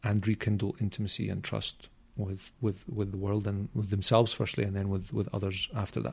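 A somewhat breathy man with a Glaswegian accent and fairly low pitch, in a very clean recording with a silent background. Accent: Glaswegian Scottish. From Scotland, Glasgow. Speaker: self-development coach and NLP practitioner. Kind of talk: casual interview chat.

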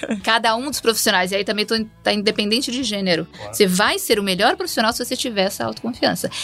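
A woman talks very fast in a fairly high pitch with ordinary pitch variation. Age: 50s. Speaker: HR executive. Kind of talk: casual chat.

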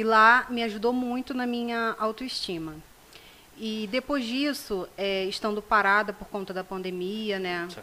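The voice has a bright, sharp tone and ordinary pitch variation. It moves at a fairly slow pace. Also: woman, fairly high pitch for a woman. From Rio de Janeiro state, Brazil. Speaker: self-esteem project founder. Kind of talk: casual interview. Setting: studio.

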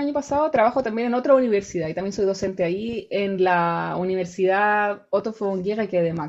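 Lively intonation marks a woman's fairly high-pitched voice, a plain, everyday voice. She keeps a moderate pace against a quiet background. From Chile, Rancagua. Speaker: researcher and university lecturer. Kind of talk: casual interview.

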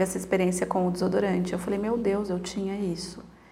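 Fairly low and fairly even, a woman's voice comes through noticeable background noise and audible room echo. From Brazil, interior of São Paulo state (Piracicaba). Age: 40s. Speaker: psychologist living with multiple sclerosis. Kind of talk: interview, casual chat.

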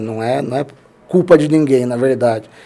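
At a moderate pace, a man talks at a fairly high pitch with ordinary pitch variation over noticeable background noise. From Brazil, São Paulo state (Limeira). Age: 40s. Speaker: plastic surgeon. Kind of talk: casual interview chat.

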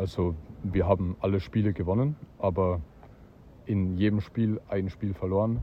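Very deep and somewhat breathy, a man's voice moves through ordinary pitch variation with long, frequent pauses. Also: moderate pace. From Austria. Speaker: disc golf player. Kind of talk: casual interview.

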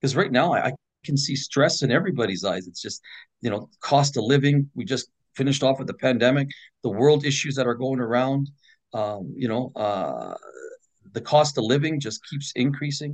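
A man with a Canadian accent, a plain, everyday voice, medium pitch, ordinary pitch variation, and a moderate pace. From Edmonton, Alberta, Canada. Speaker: political candidate and sheriff. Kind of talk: casual interview.

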